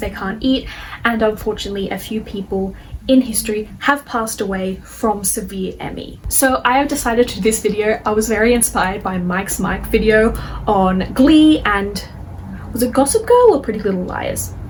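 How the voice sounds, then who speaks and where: Noticeable background noise behind a woman's fairly high-pitched voice with fairly even intonation. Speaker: chronic illness video creator. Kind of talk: educational video monologue. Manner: fast; slurring words.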